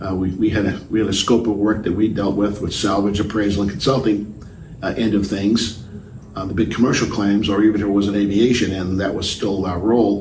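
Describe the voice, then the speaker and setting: Over noticeable background noise, a man with a fairly low voice speaks fairly quickly in a flat monotone. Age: 70s. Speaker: aviation insurance salvage and claims executive. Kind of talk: interview answer. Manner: hesitant, many filler words.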